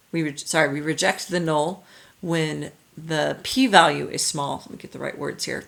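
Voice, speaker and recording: A woman with vocal fry and a very deep, low pitch speaks at a moderate pace with ordinary pitch variation and big swings in loudness. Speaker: high school statistics teacher. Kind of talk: recorded lecture. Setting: recorded video lesson. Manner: halting, self-correcting.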